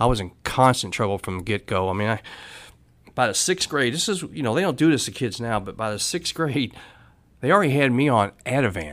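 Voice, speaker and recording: A man with an American accent speaks at a medium pitch and a fairly quick pace, with very wide pitch swings. The recording is very clean, with a silent background. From Louisville, Kentucky. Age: 50s. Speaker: person in addiction recovery. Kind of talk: recovery story testimony.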